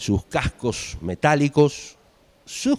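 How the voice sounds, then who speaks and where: A man speaks on a very clean recording with a silent background and a dry, close sound with no echo. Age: 50s. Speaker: guest lecturer. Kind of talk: lecture.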